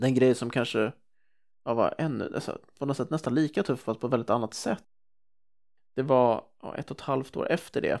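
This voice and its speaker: A man's medium-pitched voice with ordinary pitch variation, a moderate pace, and long, frequent pauses. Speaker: entrepreneur and public speaker. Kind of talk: casual interview.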